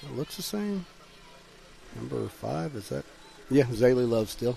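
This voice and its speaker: A man with an American accent mumbles at a fairly slow pace, his loudness swinging widely. Noticeable background noise is present. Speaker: sports commentator. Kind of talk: live commentary. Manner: mumbling; casual, conversational.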